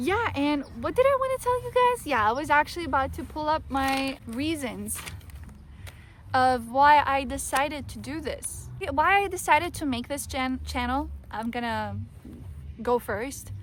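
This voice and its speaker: Moderate speed from a woman with a non-native accent. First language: not English. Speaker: YouTuber. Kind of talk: casual vlog talk to camera. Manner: halting, with restarts.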